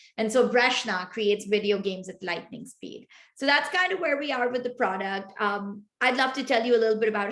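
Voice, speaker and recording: A woman with a Pashto accent and ordinary pitch variation. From Pakistan. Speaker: tech start-up founder. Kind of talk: interview.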